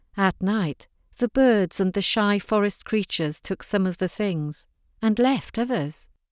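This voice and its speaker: Here a woman with a normal speaking voice talks at a moderate pace, medium in pitch and with lively intonation. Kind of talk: audiobook narration reading fiction aloud. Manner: measured, storytelling pace with a hushed, dreamy lyrical tone.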